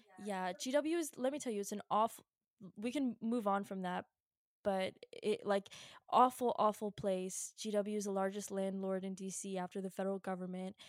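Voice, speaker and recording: Here is a woman with a normal speaking voice and an American accent, at medium pitch with ordinary pitch variation. She speaks at a moderate pace in a dry, close sound with no echo. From Virginia, US. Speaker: podcast co-host. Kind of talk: casual chat. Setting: home studio, hosts sitting apart. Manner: casual, lots of laughing and fillers.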